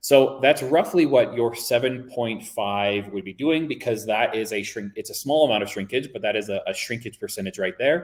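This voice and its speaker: A man with a medium pitch speaks with lively intonation and hardly any pauses. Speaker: workshop presenter. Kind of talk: webinar presentation. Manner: fast; casual.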